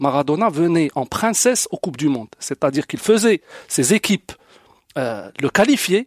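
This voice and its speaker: A man talks at a moderate pace, his pitch swinging very widely. The sound is dry and close, with no echo. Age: 40s. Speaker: football fan. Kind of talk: casual debate.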